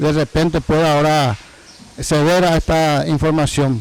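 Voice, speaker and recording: Noticeable background noise accompanies a man whose fairly high voice moves at a moderate pace with ordinary pitch variation. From Paraguay, Villa Hayes. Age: 70s. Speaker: former mayor and governor. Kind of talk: interview testimony.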